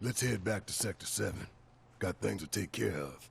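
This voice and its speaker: A man puts on a raspy character voice with a very deep, low pitch, moving at a moderate pace over clear background noise. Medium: video game.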